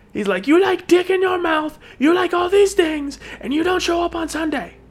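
At a moderate pace, someone speaks in a put-on character voice with an extremely high pitch. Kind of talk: broken, clipped speech. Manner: angry, ranting.

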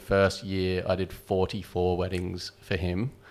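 Here a man speaks with an Australian accent in a very deep, low pitch. The recording is very clean, with a silent background. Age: 40s. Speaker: wedding photographer. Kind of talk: casual chat.

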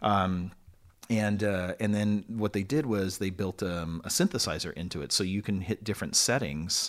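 In a Californian accent, a man speaks at a moderate pace with fairly low pitch and ordinary pitch variation, on a very clean recording with a silent background. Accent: Californian American English. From Long Beach, California. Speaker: musician and former teacher. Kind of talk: casual interview chat.

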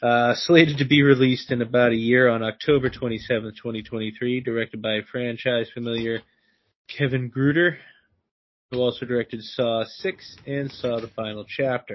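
This man has an unremarkable speaking voice. He talks at a moderate pace with fairly even intonation. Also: medium pitch for a man. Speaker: podcast co-host. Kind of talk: casual chat.

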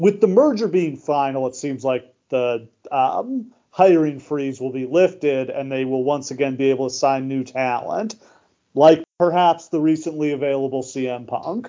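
Here a man speaks in a plain, everyday voice, fairly high in pitch. He keeps a moderate pace. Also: ordinary pitch variation. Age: 30s. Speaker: wrestling podcast host. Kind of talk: casual chat.

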